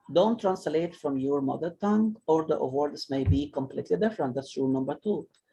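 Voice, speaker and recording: A man speaks with an Arabic accent. His tone is dark and mellow, and his intonation is lively. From Egypt. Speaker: English teacher. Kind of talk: online class discussion. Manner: halting.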